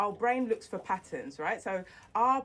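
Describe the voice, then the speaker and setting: A woman speaks with a London accent and lively intonation. Her pace is moderate. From East London (Barking), England. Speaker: business strategist. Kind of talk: interview.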